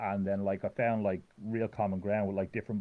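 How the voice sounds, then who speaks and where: This man talks at a very fast pace. He has a strong Irish accent. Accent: thick Irish. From Ireland. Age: 30s. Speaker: fighting game player. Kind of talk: casual chat. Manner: halting.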